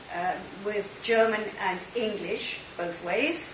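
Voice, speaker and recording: A woman speaks at a very slow pace, with a fairly high pitch and ordinary pitch variation. Noticeable background noise and audible room echo fill the recording. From southern England, near London. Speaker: conference interpreter and trainer. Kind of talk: talk to an audience.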